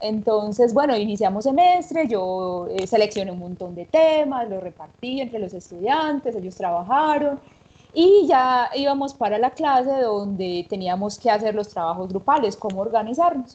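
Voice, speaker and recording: A dark, mellow tone in a paisa accent at a moderate pace, with lively intonation and big swings in loudness. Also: woman, fairly high pitch for a woman. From Colombia, Antioquia (paisa). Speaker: university teacher. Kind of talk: anecdote telling in panel.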